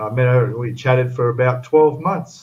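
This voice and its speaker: With an Australian accent, the speaker talks at a moderate pace in a somewhat breathy voice with ordinary pitch variation. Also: man. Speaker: model-building livestream co-host. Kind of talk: casual chat.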